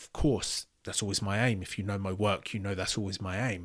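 Against a silent background in a very clean recording, a man speaks at a very fast pace. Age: 30s. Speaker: podcast host reacting to videos. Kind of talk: reaction commentary.

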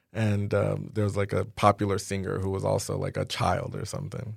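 A man speaks at a moderate pace with a fairly low pitch, vocal fry and fairly even intonation. The recording is very clean, with a silent background. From Nigeria. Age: 30s. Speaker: tech entrepreneur. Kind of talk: interview.

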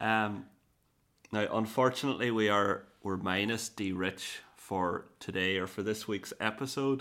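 The tone is bright and sharp, with an Irish accent, a fairly slow pace and a very clean recording over a silent background. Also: man, fairly low pitch for a man. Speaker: podcast host. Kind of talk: casual chat.

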